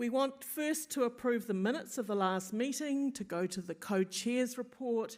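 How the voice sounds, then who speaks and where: With a New Zealand accent, a woman with a high voice speaks at a moderate pace with hardly any pauses and ordinary pitch variation. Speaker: meeting chair. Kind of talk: formal meeting address. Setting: in-person meeting streamed on Zoom.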